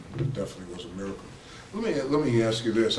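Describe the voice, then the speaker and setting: Audible room echo hangs around a man's voice. Noticeable background noise is present too. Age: 60s. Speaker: interviewer. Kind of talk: interview.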